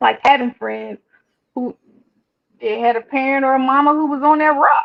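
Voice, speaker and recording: With an American accent, a woman speaks at a moderate pace in a high pitch with ordinary pitch variation. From Washington DC, Northwest. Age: 40s. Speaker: licensed therapist. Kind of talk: casual chat.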